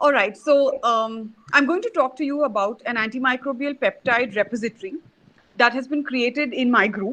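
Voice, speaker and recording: A woman speaks in a high voice with a bright, sharp tone and ordinary pitch variation. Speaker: scientist presenting research. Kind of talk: online conference talk. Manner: fast.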